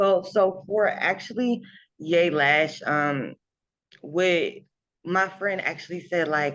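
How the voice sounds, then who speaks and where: Her medium-pitched voice moves at a very slow pace with ordinary pitch variation, as the woman leaves long, frequent pauses. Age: 20s. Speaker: lash business owner. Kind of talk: interview. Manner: hesitant, many fillers.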